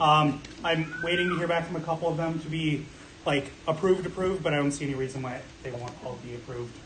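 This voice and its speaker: There is audible room echo and noticeable background noise as a man talks at a very fast pace. His pitch is fairly high, with fairly even intonation. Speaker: room parties coordinator. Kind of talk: staff meeting report. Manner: loud. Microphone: no microphone.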